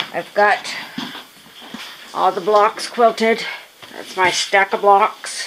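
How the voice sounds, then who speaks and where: Light noise sits behind speech that unfolds very slowly. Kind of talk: casual vlog chat. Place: home room. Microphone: phone near.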